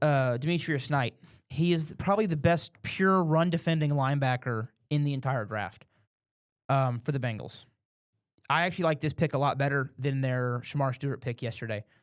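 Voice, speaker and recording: Here a man speaks at a fairly quick pace. His pitch varies in an ordinary way. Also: very clean recording, silent background. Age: 20s. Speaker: podcast host. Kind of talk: casual chat. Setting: studio. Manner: quieter than guest.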